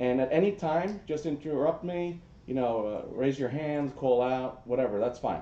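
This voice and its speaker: This man has a New Jersey accent and a medium pitch. His tone is dark and mellow, and he keeps a moderate pace. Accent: New Jersey American. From US, New Jersey. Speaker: social media analytics expert. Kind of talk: presentation. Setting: room with audience. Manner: casual, with many fillers.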